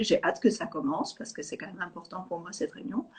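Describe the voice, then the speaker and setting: A woman's fairly high, somewhat breathy voice with lively intonation. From Sweden. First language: Swedish (speaking French). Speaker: EFT teacher. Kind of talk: interview. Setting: live video call.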